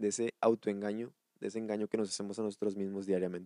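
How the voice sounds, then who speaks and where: At a very fast pace, a dark, mellow tone comes across in a dry, close sound with no echo. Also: man. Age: 20s. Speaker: podcast host and wellness therapist. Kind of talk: solo podcast monologue.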